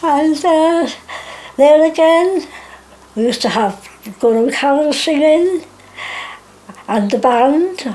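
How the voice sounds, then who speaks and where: Against noticeable background noise, a woman speaks at a very slow pace. Her intonation is lively, with long, frequent pauses. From Wales. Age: 80s+. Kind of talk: oral history interview. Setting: home.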